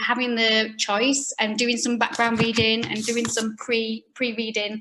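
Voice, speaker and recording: A woman with a Yorkshire accent has a bright, sharp tone and a fairly high pitch. She speaks in a flat monotone. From Yorkshire, northern England. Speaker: pelvic health physiotherapist. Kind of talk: online talk. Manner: fast.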